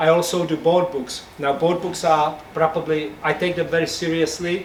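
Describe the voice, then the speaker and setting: A man with a Czech accent, fairly high pitch and monotone, flat intonation over noticeable background noise. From Czech Republic. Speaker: picture book illustrator. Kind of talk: talk to audience. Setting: bookshop event with audience.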